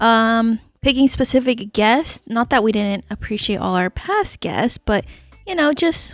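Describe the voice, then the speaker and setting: Over music in the background, a woman talks in a fairly high voice with ordinary pitch variation. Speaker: podcast co-host. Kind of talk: casual chat.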